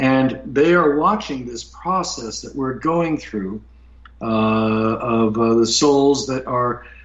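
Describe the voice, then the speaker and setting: Audible room echo surrounds a man at a medium pitch. He speaks at a very slow pace, and his loudness swings widely. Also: ordinary pitch variation. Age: 60s. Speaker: UFO experiencer, author. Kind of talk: interview testimony. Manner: halting, many fillers.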